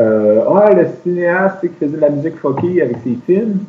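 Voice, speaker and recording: A man with a Quebec accent talks at a moderate pace, his fairly high pitch carrying lively intonation. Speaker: traveler. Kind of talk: casual chat.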